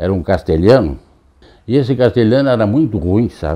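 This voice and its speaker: A man is speaking. His pitch swings very widely. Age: 80s+. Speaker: barber. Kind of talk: interview testimony. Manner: halting, repetitive.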